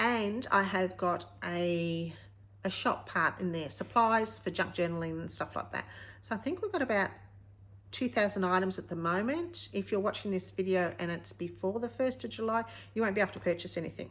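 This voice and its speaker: A woman speaks at a moderate pace, her medium pitch moving with ordinary variation. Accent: Australian. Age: 50s. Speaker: retired craft vlogger. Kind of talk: casual vlog talk to camera. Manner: halting.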